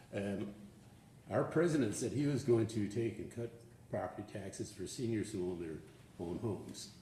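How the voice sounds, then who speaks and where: Audible room echo surrounds the speaker. A man talks at a fairly quick pace. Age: 70s. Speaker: public commenter, retiree. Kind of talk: public comment at government meeting. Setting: county board meeting. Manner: halting.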